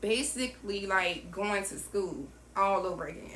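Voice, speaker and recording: Amid audible room echo and noticeable background noise, a woman with a Southern US accent speaks at medium pitch with ordinary pitch variation. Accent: Southern US country. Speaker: entrepreneur and vlogger. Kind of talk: personal storytelling vlog. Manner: casual, conversational with fillers.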